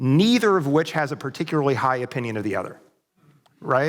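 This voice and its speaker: With an American accent and an unremarkable speaking voice, a man speaks at a fairly high pitch with lively intonation. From US Midwest, Ozarks of southwest Missouri. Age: 50s. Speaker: conference speaker, academic. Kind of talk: church conference talk. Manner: casual, many filler words.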